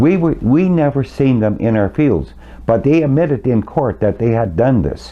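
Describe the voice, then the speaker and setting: With a Canadian prairie accent, a man speaks at very even loudness with very wide pitch swings. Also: medium pitch for a man, moderate pace. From Canadian prairies, Saskatchewan. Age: 70s. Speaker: farmer. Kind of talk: interview.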